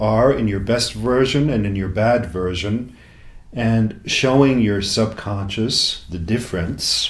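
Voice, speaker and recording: Somewhat breathy and very slow, a man speaks with ordinary pitch variation. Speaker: self-help coach. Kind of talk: talk. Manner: slow, relaxed, hypnotic.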